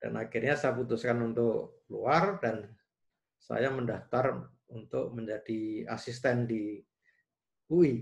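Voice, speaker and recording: Against a quiet background, a man talks at a very slow pace. His voice is somewhat breathy, with ordinary pitch variation. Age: 60s. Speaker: engineering professor. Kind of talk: interview. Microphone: video call.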